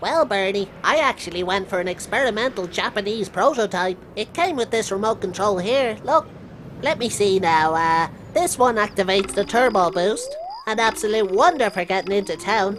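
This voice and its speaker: Over clear background noise, a female-sounding voice does a put-on character voice at a medium pitch and a moderate pace. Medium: comedy sketch. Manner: chatty, crude, mock-genteel.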